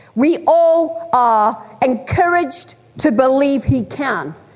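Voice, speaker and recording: A woman with a Lancashire accent speaks with lively intonation. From Bolton, Greater Manchester, northern England. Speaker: preacher. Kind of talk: sermon. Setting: church.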